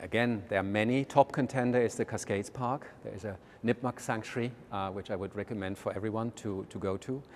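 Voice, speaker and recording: Speaking in a German accent, a man uses a fairly low pitch and fairly even intonation at a fairly quick pace. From Germany. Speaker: art museum director. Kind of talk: interview. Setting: walking through a museum. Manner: halting, many fillers.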